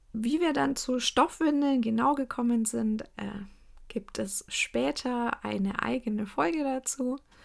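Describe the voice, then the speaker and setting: A woman's high voice with lively intonation at a very slow pace, on a very clean recording with a silent background. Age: 30s. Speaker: podcast host and cloth diaper consultant. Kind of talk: casual monologue.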